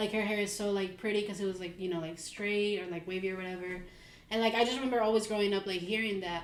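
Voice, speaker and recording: A woman in a Mexican accent speaks at a medium pitch with fairly even intonation, with audible room echo and noticeable background noise. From Mexico City. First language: Spanish. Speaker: podcast co-host. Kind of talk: casual chat.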